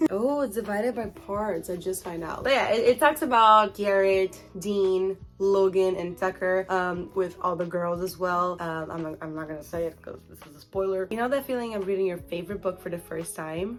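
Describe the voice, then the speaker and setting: An upbeat woman's voice at a medium pitch, with hardly any pauses, big swings in loudness, and music in the background. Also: ordinary pitch variation, moderate pace. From Brazil. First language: Portuguese. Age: 20s. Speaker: book vlogger. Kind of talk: casual talk to camera.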